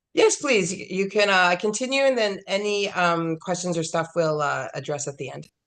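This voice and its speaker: This is an ordinary speaking voice, a woman at medium pitch. She talks at a moderate pace with lively intonation. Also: hardly any pauses. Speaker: webinar host. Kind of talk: webinar moderation.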